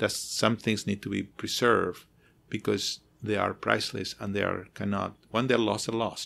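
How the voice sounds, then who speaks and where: This man has a fairly low pitch, a non-native accent and some vocal fry, with ordinary pitch variation. He talks at a moderate pace on a very clean recording with a silent background. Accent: foreign. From outside the US. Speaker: architect who studies sacred spaces. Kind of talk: interview conversation. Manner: halting, many repetitions.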